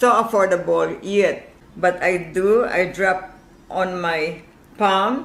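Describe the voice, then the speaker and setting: In a Filipino accent, a woman speaks at medium pitch with audible room echo. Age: 80s+. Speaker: caller. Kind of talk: testimony.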